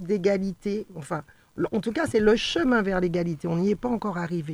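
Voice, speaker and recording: A woman with a plain, everyday voice at medium pitch uses lively intonation, recorded with a dry, close sound and no echo. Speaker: local councillor and teacher. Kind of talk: radio panel discussion. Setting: radio studio.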